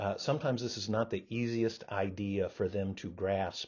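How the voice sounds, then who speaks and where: A man is speaking. His voice is somewhat breathy. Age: 60s. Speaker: professor. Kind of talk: lecture. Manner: halting, many fillers and repeats.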